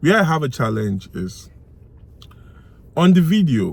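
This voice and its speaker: Somewhat breathy and swinging widely in pitch, a man talks at a moderate pace with audible room echo. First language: not English. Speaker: YouTube gossip commentator. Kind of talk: casual vlog commentary. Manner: animated.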